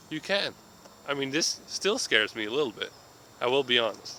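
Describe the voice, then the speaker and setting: There is noticeable background noise behind this voice. A man talks at a moderate pace with a fairly high pitch. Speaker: vlogger. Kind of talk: casual vlog monologue. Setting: outdoors in a park. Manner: halting, stumbling over words. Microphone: tablet recording, sound may be poor.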